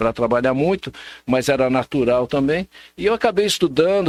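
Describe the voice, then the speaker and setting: A man with a normal speaking voice and a fairly high pitch talks at a moderate pace, dry and close with no echo, on a very clean recording with a silent background. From São Paulo state, Brazil (Ferraz de Vasconcelos, São Paulo metro area). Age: 60s. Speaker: social scientist and political marketing specialist. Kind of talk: casual interview chat.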